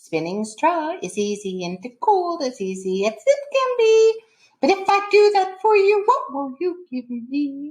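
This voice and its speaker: Slowing to a fairly slow pace, a woman puts on a squeaky character voice at an extremely high pitch. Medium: read story. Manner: sing-song, rhyming.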